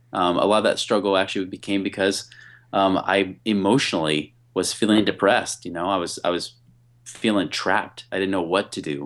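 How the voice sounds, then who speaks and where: The speaker has a normal speaking voice with an American accent. The pace is fairly quick. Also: man, fairly low pitch for a man. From US Pacific Northwest, near Portland, Oregon. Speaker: entrepreneur and business consultant. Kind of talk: interview. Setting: remote call.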